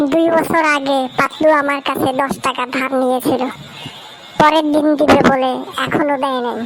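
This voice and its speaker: A female-sounding, high-pitched cartoonish character voice over clear background noise. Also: moderate pace. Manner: squabbling, rustic colloquial.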